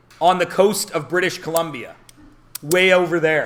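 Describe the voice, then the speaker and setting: A man with a Canadian accent talks in an animated tone at a high pitch. Audible room echo and noticeable background noise surround him. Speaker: math teacher. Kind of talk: classroom talk. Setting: classroom.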